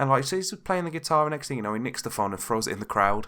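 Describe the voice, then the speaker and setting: On a very clean recording with a silent background, a man with a British accent speaks with lively intonation. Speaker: podcast host. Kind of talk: casual podcast talk. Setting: home recording without pop filter.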